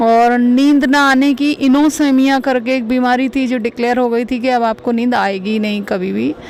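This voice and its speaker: Over noticeable background noise, a woman with fairly high pitch speaks at a moderate pace with fairly even intonation. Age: 50s. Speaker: patient giving testimonial. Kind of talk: testimony.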